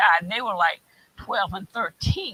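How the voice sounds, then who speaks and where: Her voice is medium in pitch with a bright, sharp tone, and this woman speaks with lively intonation and an American accent. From West Virginia. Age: 70s. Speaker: community panelist. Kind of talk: panel discussion. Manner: halting.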